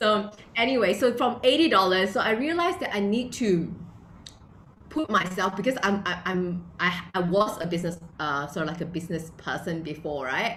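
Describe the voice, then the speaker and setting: Speaking at a moderate pace with a non-native accent, a woman with a medium-pitched voice sounds animated and lively, with audible room echo. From Malaysia. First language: not English. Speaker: entrepreneur and blogger. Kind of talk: interview.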